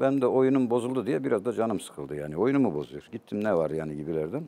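The tone is dark and mellow, with very wide pitch swings. The pace is fairly quick. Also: man. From Turkey, Elazığ (eastern Anatolia); Turkey. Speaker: poet and literature professor; talk show guest. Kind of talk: interview, personal storytelling. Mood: reflective, emotional storytelling. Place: studio. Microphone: lapel.

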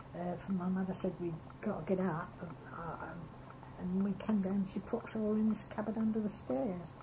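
A woman talks at a moderate pace, her intonation fairly even, over noticeable background noise. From Suffolk, England. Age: 80s+. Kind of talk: reminiscence interview. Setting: home tape recording. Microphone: old recording.

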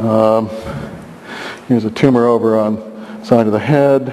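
The speaker is a man. He keeps his intonation fairly even. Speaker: biologist researcher. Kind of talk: lecture. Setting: stage with audience. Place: hall. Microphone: podium.

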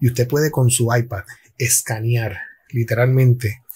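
Somewhat breathy, a man speaks at a moderate pace. His tone is dark and mellow. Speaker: tech commentator. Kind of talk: casual tech commentary. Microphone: headset.

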